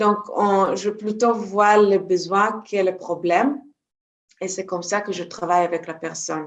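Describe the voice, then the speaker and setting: A woman with a Hebrew accent speaks at medium pitch and a fairly slow pace, her intonation fairly even. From Israel. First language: Hebrew (speaking French). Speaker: energy healer and trainer. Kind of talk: interview. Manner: halting, many hesitations.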